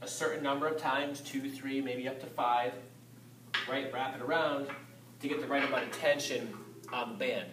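A man talks at a moderate pace, with light background noise and audible echo in the room. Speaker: fitness coach. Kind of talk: tutorial. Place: gym. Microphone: camera far.

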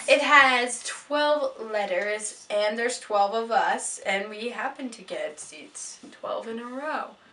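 A woman speaks very slowly with a high pitch and lively intonation. She hardly pauses, and her loudness swings widely. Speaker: fan vlogger. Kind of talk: casual talk to camera. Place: home room. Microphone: webcam.

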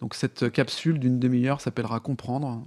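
A man's medium-pitched voice, dark and mellow in tone, at a moderate pace with fairly even intonation. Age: 40s. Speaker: podcaster and entrepreneur. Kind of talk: interview conversation. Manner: halting, many fillers and repetitions.

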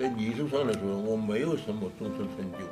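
A man speaks at a fairly slow pace, with clear music in the background. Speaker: writer. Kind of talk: interview answer. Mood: reflective, regretful. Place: home room.

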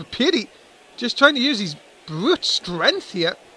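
A man speaks in a raised, projected voice. His tone is animated, bright and sharp. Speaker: wrestling commentator. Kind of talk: live wrestling commentary. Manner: animated, play-by-play, excitable.

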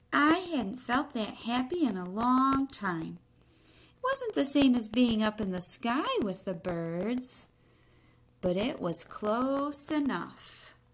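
A woman talks at a slow pace with a fairly high pitch and big pitch swings, and the room echo is audible.

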